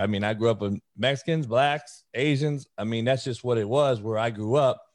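A man with an American accent talks at a moderate pace with ordinary pitch variation, and the background is quiet. He has a normal speaking voice. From Compton, California. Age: 40s. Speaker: college football coach. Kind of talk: casual interview.

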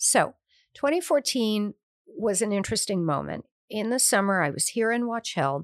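A woman with an American accent speaks at a moderate pace in a fairly high pitch, her voice swinging very widely in pitch, on a very clean recording with a silent background. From US Midwest, suburban Detroit. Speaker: author and hotel owner. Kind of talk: interview.

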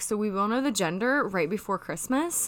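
In a very clean recording with a silent background, a woman talks at a moderate pace in an animated, bright, sharp tone, her fairly high pitch carrying lively intonation. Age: 30s. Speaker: podcast host. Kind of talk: casual chat.

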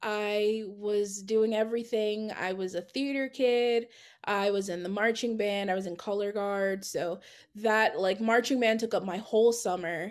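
Against a quiet background, a woman with a medium pitch speaks at a fairly slow pace with fairly even intonation. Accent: American. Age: 20s. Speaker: graphic designer. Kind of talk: casual interview. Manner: calm.

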